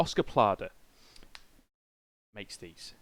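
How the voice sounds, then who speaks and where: A man speaks with a British accent at a moderate pace. The recording is very clean, with a silent background. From Britain. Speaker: video game streamer. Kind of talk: casual live-stream chat. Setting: live stream with webcam.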